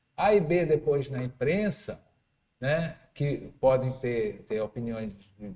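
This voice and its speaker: A man with a dark, mellow tone sounds somewhat breathy, and his pitch swings very widely. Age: 60s. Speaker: radio host. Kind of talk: interview.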